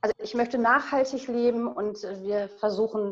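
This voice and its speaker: A woman speaks with a fairly high pitch. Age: 40s. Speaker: guest on sustainable family living. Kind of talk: casual interview.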